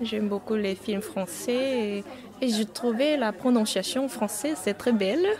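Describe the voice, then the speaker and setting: A woman with a Korean accent speaks at a fairly slow pace in a fairly high voice, with ordinary pitch variation and very even loudness. Noticeable background noise is present. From South Korea. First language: Korean (speaking French). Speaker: Korean language teacher. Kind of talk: interview. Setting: on-site at a festival. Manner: halting.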